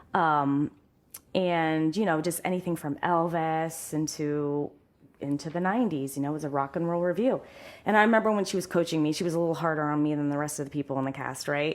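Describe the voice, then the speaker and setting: A woman's very deep, low voice moves at a fairly quick pace with ordinary pitch variation on a very clean recording with a silent background. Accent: Midwestern US. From central Ohio. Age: 40s. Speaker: singer. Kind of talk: casual chat.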